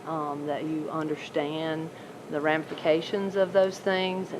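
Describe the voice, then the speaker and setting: Over noticeable background noise, a soft-spoken woman talks with a very deep, low pitch and fairly even intonation. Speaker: horse show judge giving feedback. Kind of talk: live coaching commentary during a mock show. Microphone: no microphone, recorded by video camera.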